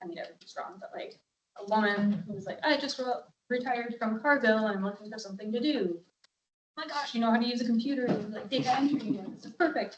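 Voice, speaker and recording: A woman with a fairly high pitch speaks at a very fast pace, her loudness swinging widely while her pitch varies in an ordinary way. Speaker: local museum staff presenting to county board. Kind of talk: presentation to board.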